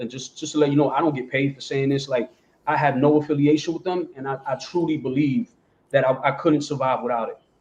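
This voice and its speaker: A man with an American accent talks at a fairly quick pace in a dark, mellow tone that is somewhat breathy. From New Jersey and New York City, US East Coast. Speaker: print-on-demand seller, panelist. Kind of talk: casual panel discussion. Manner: animated.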